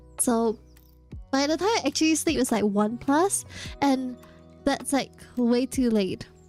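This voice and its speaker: A high-pitched woman's voice at a fairly slow pace, with ordinary pitch variation, very even loudness, long and frequent pauses, and music in the background. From Singapore. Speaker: vtuber. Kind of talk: casual talk to stream chat.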